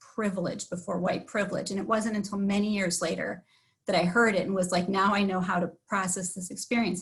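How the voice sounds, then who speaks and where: Somewhat breathy, a woman with a Wisconsin accent talks at a fairly quick pace. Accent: Upper Midwest (Wisconsin). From Wisconsin (Sauk Prairie). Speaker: village board member. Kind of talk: personal testimony at public meeting. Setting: livestreamed board meeting.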